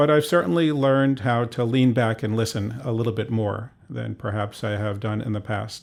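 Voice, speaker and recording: An unremarkable speaking voice, a man of medium pitch at a moderate pace, in a very clean recording with a silent background. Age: 60s. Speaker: physician. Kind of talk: interview.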